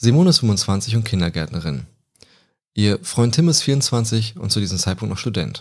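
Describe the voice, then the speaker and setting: The recording is very clean, with a silent background. A man of fairly low pitch speaks at a moderate pace with very wide pitch swings. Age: 20s. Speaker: true crime podcaster. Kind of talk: storytelling narration.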